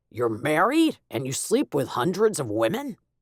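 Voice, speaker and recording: Growling put-on character voice from a man, fairly high-pitched with very wide pitch swings, at a moderate pace, in a dry, close sound with no echo. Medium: read story. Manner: blunt, teasing.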